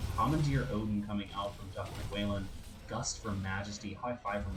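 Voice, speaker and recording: A soft-spoken man talks with audible room echo. Noticeable background noise is present. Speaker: esports caster. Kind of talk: live commentary. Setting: live stream.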